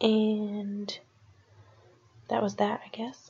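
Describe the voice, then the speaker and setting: A soft-spoken woman talks with music in the background. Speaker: crafting video creator. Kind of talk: casual tutorial voiceover. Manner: soft-spoken, quiet; hesitant, many fillers.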